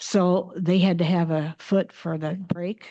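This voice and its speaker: Against a quiet background, a woman speaks with a fairly low pitch. Her tone is dark and mellow, her intonation monotone and flat. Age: 80s+. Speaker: Benedictine nun and former missionary. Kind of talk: slide presentation. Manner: halting, with frequent restarts.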